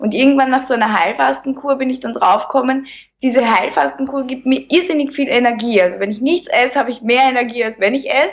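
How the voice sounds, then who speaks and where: With an Austrian accent, a woman talks at a very fast pace in a high pitch. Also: ordinary pitch variation. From Lower Austria, near Vienna. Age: 30s. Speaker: plastic surgery clinic worker and Instagram creator. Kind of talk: casual interview.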